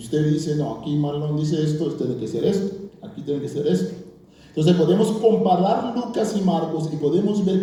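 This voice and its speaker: A man speaks with a non-native accent and lively intonation. Audible room echo and noticeable background noise surround him. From Curaçao. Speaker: bible scholar and pastor. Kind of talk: lecture.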